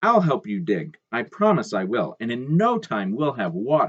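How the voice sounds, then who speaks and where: A put-on character voice, whiny and low-to-middle in pitch, swings very widely up and down. It moves along at a moderate pace. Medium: read story.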